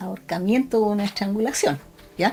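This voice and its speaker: A woman in a Chilean accent at a fairly quick pace, with music in the background. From Chile, Concepción. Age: 60s. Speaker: forensic doctor. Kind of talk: interview. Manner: hesitant, with frequent fillers.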